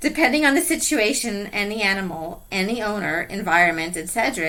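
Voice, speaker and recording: A woman's medium-pitched voice with very wide pitch swings and a fairly quick pace, over noticeable background noise. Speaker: podcast host. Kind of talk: interview. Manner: soft-spoken; loud.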